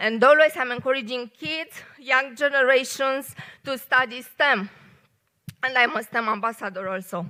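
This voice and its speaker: In a Romanian accent, a woman speaks in a raised, projected voice at a moderate pace, with a high pitch, ordinary pitch variation and a bright, sharp tone. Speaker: engineer and poet giving a short talk. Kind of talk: short public talk. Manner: hesitant, many fillers.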